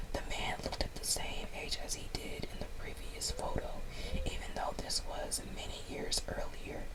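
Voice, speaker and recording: A woman whispers at a moderate pace against noticeable background noise. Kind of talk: story reading. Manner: whispered.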